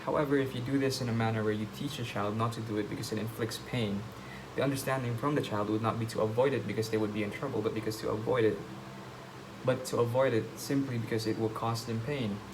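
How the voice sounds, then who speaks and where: Through audible room echo and noticeable background noise, a man of medium pitch talks at a very fast pace with fairly even intonation. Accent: non-native. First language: not English. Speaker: vlogger. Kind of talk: casual monologue. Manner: halting.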